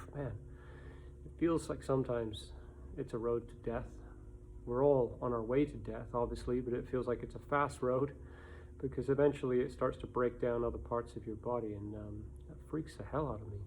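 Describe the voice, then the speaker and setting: A man of medium pitch with vocal fry and lively intonation, at a moderate pace with long, frequent pauses. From England. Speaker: vlogger sharing personal story. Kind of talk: personal vlog monologue. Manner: halting.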